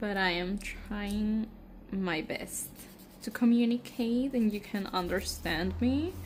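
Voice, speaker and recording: The speech moves at a very slow pace and sounds somewhat breathy. Pitch variation is ordinary. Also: woman, medium pitch for a woman. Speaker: nail care vlogger. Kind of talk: tutorial. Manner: halting, with fillers.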